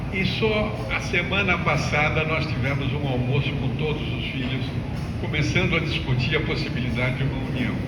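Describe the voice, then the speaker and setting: Audible room echo and noticeable background noise surround a voice at a moderate pace with ordinary pitch variation. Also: man, medium pitch for a man. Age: 80s+. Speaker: ecovillage founder and former landowner. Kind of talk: testimony. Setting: speaking to a group with a microphone. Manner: unprepared, from the heart.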